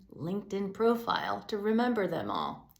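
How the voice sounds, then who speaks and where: A woman speaks with an American accent, and room echo is audible. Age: 60s. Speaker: executive director of a public media news outlet. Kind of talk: scripted address to supporters.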